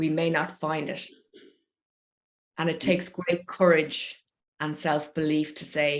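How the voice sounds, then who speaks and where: Speaking fairly slowly with an Irish accent, a woman keeps a fairly low pitch and a monotone, flat intonation. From Ireland. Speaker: poet and creative coach. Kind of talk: online talk and Q&A. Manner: warm, encouraging.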